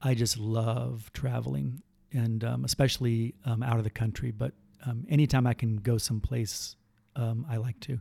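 A man talks at a moderate pace and medium pitch, with ordinary pitch variation. His tone is dark, mellow and somewhat breathy, in a dry, close sound with no echo. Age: 50s. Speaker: pastor. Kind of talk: casual chat; testimony.

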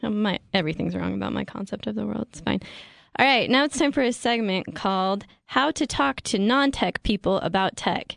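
Against a quiet background, a woman with vocal fry talks at a fairly quick pace, her medium pitch carrying lively intonation. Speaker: podcast co-host and tech writer. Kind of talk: casual chat. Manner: formal announcer style in the intro.

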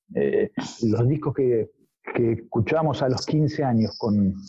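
A man speaks at a fairly slow pace in a somewhat breathy voice. His intonation is lively. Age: 50s. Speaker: musician. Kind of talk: interview.

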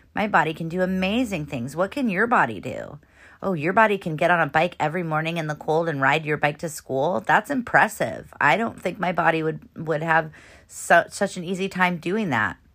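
A woman with a plain, everyday voice and a fairly low pitch talks at a moderate pace with lively intonation, in a very clean recording with a silent background. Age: 40s. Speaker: podcast host, parenting coach. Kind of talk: solo podcast monologue. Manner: casual, conversational.

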